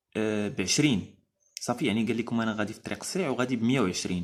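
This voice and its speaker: A man with a Moroccan accent, medium pitch and ordinary pitch variation. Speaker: driving instructor. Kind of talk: educational explainer. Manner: casual, hesitant.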